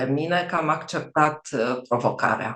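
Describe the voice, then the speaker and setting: Her intonation is lively as she talks. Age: 60s. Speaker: pediatrician, program client. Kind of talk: testimonial interview. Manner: hesitant, with filler sounds.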